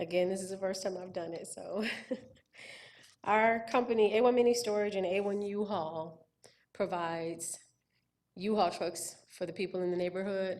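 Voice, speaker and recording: At a moderate pace, a woman talks with a medium pitch. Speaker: applicant at county zoning hearing. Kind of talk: public hearing testimony. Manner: halting.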